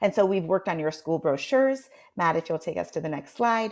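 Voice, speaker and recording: On a very clean recording with a silent background, a woman talks at a fairly quick pace with lively intonation. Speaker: marketing agency presenter. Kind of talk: presentation to committee. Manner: fast; halting, many fillers.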